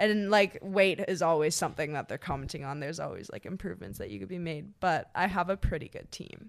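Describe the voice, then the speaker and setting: Speech comes at a very fast pace in a Canadian accent, with hardly any pauses. The recording is very clean, with a silent background. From Ottawa area, Canada. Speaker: social media creator and model. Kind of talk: casual chat.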